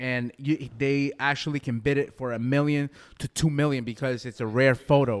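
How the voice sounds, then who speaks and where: This man has an unremarkable speaking voice with an American accent, medium pitch, fairly even intonation and a moderate pace. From US, Boston. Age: 30s. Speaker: podcast co-host. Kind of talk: casual chat.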